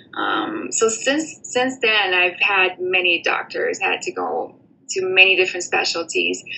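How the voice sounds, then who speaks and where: Over noticeable background noise, a woman with a Portuguese accent speaks at a fairly slow pace. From Brazil, São Paulo state. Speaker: former college student, aspiring doctor. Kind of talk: personal testimony. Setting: remote recording from abroad.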